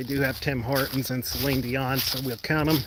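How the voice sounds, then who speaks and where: A man speaks with a Western New York accent. Noticeable background noise runs under his voice. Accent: Western New York (Inland North) American. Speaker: roadside safety advocate. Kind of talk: live stream Q&A while walking. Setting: outdoors, walking on a lakeside trail. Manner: casual, conversational with fillers.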